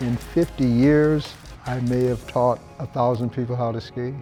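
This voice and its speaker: Music plays in the background. A man speaks at medium pitch. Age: 80s+. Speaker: ski instructor. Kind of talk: interview answer.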